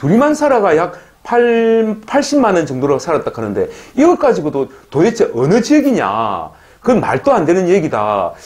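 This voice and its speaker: A man speaks at a moderate pace, his loudness very even throughout. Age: 60s. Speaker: YouTuber on life in the Philippines. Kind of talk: casual monologue vlog. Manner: animated.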